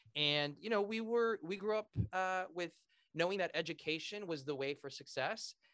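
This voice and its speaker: Speaking with an American accent at a moderate pace, a man uses a high, bright, sharp voice with ordinary pitch variation, and the sound is dry and close with no echo. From Southern California (near Pasadena). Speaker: real estate entrepreneur and author. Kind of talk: interview.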